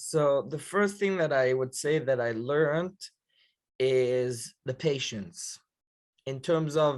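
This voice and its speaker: Using a very slow pace, a man with an Israeli accent speaks at a fairly high pitch with ordinary pitch variation. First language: Hebrew. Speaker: yeshiva counselor. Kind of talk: podcast interview.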